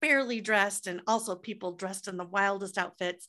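Bright and sharp, a woman's medium-pitched voice carries a Midwestern American accent. The recording is very clean, with a silent background. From US Midwest, Des Moines, Iowa. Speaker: entrepreneur and author. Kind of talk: podcast interview.

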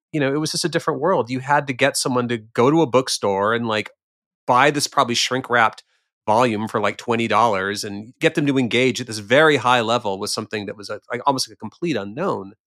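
Talking at a very fast pace, a man uses a bright, sharp tone with ordinary pitch variation. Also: medium pitch for a man. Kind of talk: casual chat. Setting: video call.

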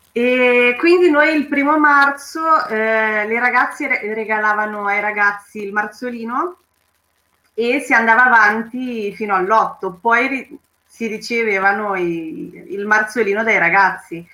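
A woman with a fairly high voice speaks very slowly, using ordinary pitch variation. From Romania. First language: Romanian (speaking Italian). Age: 30s. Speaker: cultural association member. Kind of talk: personal testimony.

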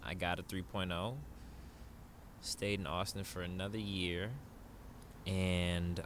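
A very slow pace in a room with audible echo. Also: man. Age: 30s. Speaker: yoga instructor and online community founder. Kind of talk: casual chat.

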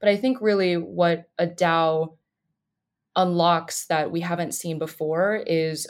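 The speaker has an ordinary speaking voice, talking at a fairly slow pace with ordinary pitch variation. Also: woman. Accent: American. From Colorado. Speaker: computer science student. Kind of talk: explanatory interview.

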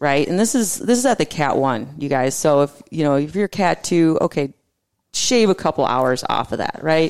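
Recorded very cleanly over a silent background, a woman speaks with a very deep, low pitch and lively intonation. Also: moderate pace. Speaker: podcast host. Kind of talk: casual chat. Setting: studio.

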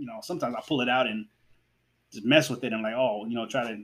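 His pitch sits in the medium range. The man speaks very fast. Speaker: podcast host. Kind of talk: casual solo podcast monologue. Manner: hesitant, many fillers.

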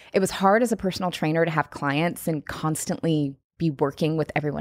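A woman with an American accent talks at a fairly quick pace. She has a fairly low pitch and a normal speaking voice. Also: very clean recording, silent background. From US Pacific Northwest, Seattle. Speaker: podcast host and former personal trainer. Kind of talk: interview.

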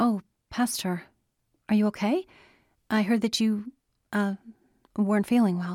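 The sound is dry and close, with no echo. The voice is somewhat breathy, with fairly even intonation. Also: woman. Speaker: audiobook narrator. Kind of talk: dramatic fiction narration, reading aloud with sinister menace in the tense scene. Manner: slow, menacing, hushed and creeping, voicing the predator in a silky drawl; formal, measured.

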